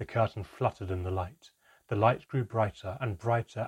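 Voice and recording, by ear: In a natural voice, a passage is read aloud while the background stays quiet.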